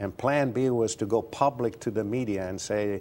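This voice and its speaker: In a very clean recording with a silent background, a man talks at a fairly slow pace with medium pitch and fairly even intonation. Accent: Romanian. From Romania. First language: Romanian. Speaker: retired advertising executive and author. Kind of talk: interview.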